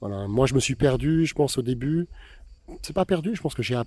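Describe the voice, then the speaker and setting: In a very clean recording with a silent background, a man speaks fairly quickly at a medium pitch, somewhat breathy, with a dark, mellow tone and ordinary pitch variation. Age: 50s. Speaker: photographer. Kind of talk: interview. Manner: halting.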